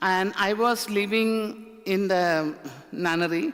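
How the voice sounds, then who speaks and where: A woman talks with an Indian accent. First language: an Indian language, not English. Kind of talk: talk to a church audience, personal testimony. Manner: halting, many fillers.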